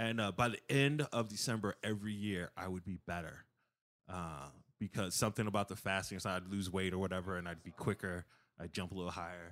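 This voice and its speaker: In an American accent, a man with a plain, everyday voice talks at a fairly low pitch with ordinary pitch variation, captured on a very clean recording with a silent background. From Chicago area, Illinois. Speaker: comedian. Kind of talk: casual chat.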